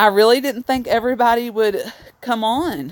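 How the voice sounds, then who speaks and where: Her intonation is lively as she talks. The woman speaks with a Southern US accent. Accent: Southern US accent, noticeable. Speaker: vlogger. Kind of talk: casual live stream chat. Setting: outdoors in the cold.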